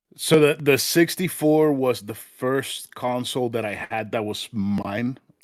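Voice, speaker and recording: Hardly pausing, a man with a Spanish accent speaks at a fairly slow pace. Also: medium pitch for a man, ordinary pitch variation. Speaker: retro gaming podcast guest. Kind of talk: casual chat.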